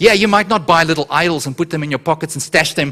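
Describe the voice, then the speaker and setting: A man speaks in an animated tone at a fairly high pitch, with ordinary pitch variation. Noticeable background noise sits behind him. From South Africa. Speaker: guest preacher. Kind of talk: sermon. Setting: church.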